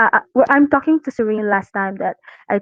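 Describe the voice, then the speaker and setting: This is a woman's voice at a fairly high pitch. Her pitch varies in an ordinary way. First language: not English. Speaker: community artist. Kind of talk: casual chat. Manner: halting.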